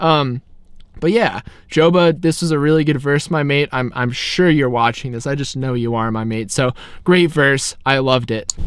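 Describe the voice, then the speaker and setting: Fairly high-pitched, a man with an American accent talks in an animated tone at a moderate pace, with ordinary pitch variation. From California. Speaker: music youtuber. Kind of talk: casual song breakdown vlog.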